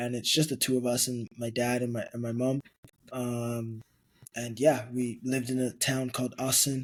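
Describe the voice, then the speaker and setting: At a moderate pace, a man talks at medium pitch with monotone, flat intonation. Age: 20s. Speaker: football club executive. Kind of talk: podcast interview. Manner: hesitant, many fillers.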